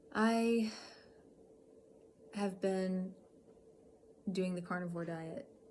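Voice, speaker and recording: A woman speaks at a very slow pace. Her tone is dark and mellow, somewhat breathy. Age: 40s. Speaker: health vlogger with chronic illness. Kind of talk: personal vlog talk to camera. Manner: hesitant, with many fillers.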